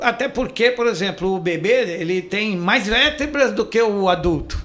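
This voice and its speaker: Over noticeable background noise, a man with a high pitch speaks at a fairly slow pace with ordinary pitch variation. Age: 60s. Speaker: chiropractor. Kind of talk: interview.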